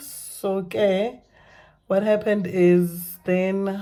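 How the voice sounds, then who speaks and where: A woman with a dark, mellow tone. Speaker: vlogger sharing personal story. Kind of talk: personal testimony vlog. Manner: halting, many fillers and repetitions.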